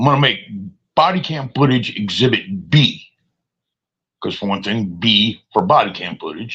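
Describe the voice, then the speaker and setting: A man talks at a medium pitch and a moderate pace, his tone bright and sharp with vocal fry. His pitch swings very widely, and he pauses long and often. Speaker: live streamer. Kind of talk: casual live stream monologue.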